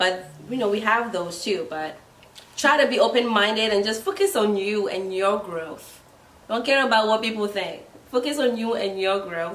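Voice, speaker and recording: The speaker has a Ghanaian accent and talks at a moderate pace. Pitch varies in an ordinary way, with audible room echo. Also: woman. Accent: Ghanaian accent picked up from trip. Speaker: guest friend. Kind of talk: casual chat.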